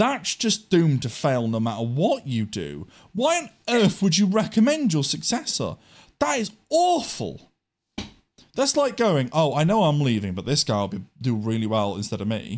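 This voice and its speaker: With an English accent, a man speaks at a moderate pace in an animated tone, his fairly high pitch making very wide swings. The recording is very clean and the background silent. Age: 20s. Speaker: podcast host. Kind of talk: casual chat.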